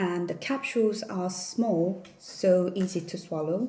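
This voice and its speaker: Over noticeable background noise, a woman with a Korean accent talks at a fairly slow pace and medium pitch, with ordinary pitch variation. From South Korea. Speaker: vlogger. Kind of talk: casual haul vlog. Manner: hesitant with fillers.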